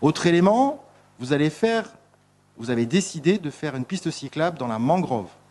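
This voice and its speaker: This man's dark, mellow tone moves through very wide pitch swings. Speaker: municipal councillor. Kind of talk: council debate. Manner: fast; halting, many hesitations.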